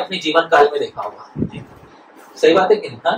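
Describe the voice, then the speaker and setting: A man speaks with a Marathi accent over noticeable background noise. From Maharashtra, India. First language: Marathi (speaking Hindi). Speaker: spiritual teacher. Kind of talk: religious talk. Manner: formal Sanschritised Hindi.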